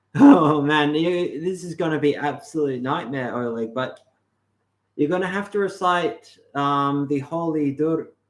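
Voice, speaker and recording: In an Australian accent, the speaker talks at a fairly slow pace with ordinary pitch variation. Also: man, fairly high pitch for a man. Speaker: livestream host on mysticism. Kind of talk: casual livestream talk. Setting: live stream. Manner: halting.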